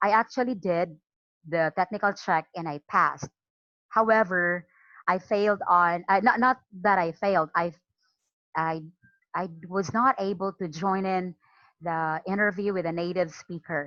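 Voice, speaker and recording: Using a bright, sharp tone and a slight Filipino accent, the speaker goes at a fairly slow pace with ordinary pitch variation and long, frequent pauses. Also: woman, medium pitch for a woman, dry, close sound with no echo. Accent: Filipino regional accent, slight. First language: Cebuano. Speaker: online English teacher. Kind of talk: training talk. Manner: halting, frequent repetitions.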